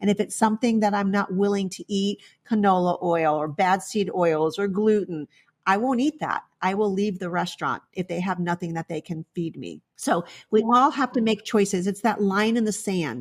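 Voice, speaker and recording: Recorded with a dry, close sound and no echo, a plain, everyday voice moves at a moderate pace with ordinary pitch variation. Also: woman, medium pitch for a woman. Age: 60s. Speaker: veterinarian. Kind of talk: interview.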